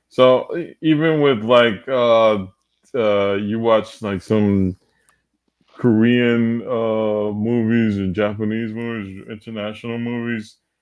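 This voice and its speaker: A man talks at a very slow pace, keeping a medium pitch and fairly even intonation. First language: Spanish. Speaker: podcast host. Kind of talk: casual chat.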